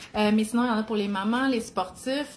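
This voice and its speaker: A somewhat breathy woman with a Quebec accent, medium pitch and fairly even intonation. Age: 40s. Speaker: cookbook author and nutrition content creator. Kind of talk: live video chat. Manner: casual, filler-heavy.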